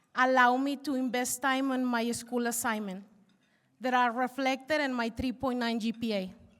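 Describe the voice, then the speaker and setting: At a moderate pace, a woman with a Spanish accent speaks in a high pitch with fairly even intonation. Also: very clean recording, silent background. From Mexico. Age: 40s. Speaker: university student. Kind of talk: speech.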